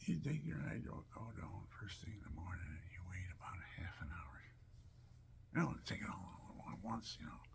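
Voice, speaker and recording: A man with a very deep, low pitch speaks at a moderate pace. His voice makes very wide pitch swings amid audible room echo. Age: 70s. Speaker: elderly vlogger with chronic pain. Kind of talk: rambling personal monologue.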